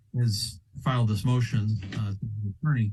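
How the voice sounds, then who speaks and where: A man's tone is dark and mellow. There's a somewhat breathy quality to it. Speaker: lawyer. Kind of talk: courtroom argument. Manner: hesitant, halting.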